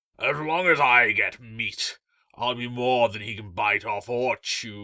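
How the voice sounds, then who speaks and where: Putting on a character voice at a medium pitch, a man talks fairly slowly with ordinary pitch variation and big swings in loudness. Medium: read story. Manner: loud, domineering.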